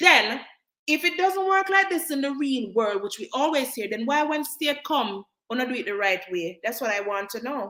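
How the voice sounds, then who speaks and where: A woman's raised, projected voice at a high pitch, animated in tone, with very wide pitch swings and a moderate pace. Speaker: nurse and live-stream host. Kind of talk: live stream chat. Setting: live stream on social media. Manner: loud.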